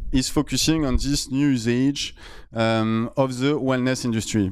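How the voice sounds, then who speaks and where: Medium-pitched male voice with a strong French accent. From France. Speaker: startup founder. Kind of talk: conference talk. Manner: loud.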